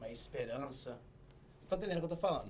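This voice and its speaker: A man speaking over noticeable background noise. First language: Portuguese. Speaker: comedy show guest. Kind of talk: comedic interview.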